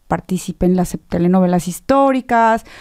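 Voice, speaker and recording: A woman with a Mexican accent speaks at a fairly slow pace against a quiet background. Her medium pitch has a dark, mellow tone. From Mexico. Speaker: theatre director and actress; actress. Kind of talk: radio interview. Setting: radio studio. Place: studio. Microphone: studio mic.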